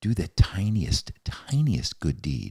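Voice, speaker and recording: On a very clean recording with a silent background, a man speaks in a dark, mellow tone with vocal fry. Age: 70s. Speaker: author and former psychologist. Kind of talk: podcast interview. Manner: animated.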